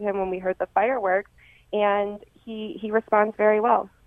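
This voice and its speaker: A woman speaks in an ordinary speaking voice at a fairly high pitch. Her pace is fairly quick. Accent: American. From Rochester, western New York. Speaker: sports chiropractor. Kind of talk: radio interview.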